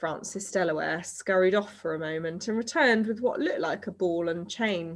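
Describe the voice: The pitch shows ordinary variation during this plain reading aloud.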